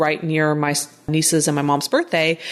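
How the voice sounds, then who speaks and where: Against a quiet background, a woman talks at a fairly quick pace in an energetic tone. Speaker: podcast host. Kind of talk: solo podcast monologue. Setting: home studio with microphone. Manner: fast.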